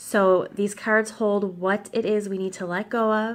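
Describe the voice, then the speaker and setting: Over a silent background in a very clean recording, a woman talks at a very slow pace. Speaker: tarot reader. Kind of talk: casual talk to camera.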